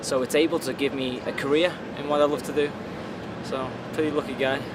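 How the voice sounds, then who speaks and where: With a Liverpool accent, a man with a fairly high pitch speaks at a fairly quick pace in a monotone, flat intonation over noticeable background noise. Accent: Liverpool (Scouse). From Liverpool, England. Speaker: free runner and actor. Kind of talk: interview.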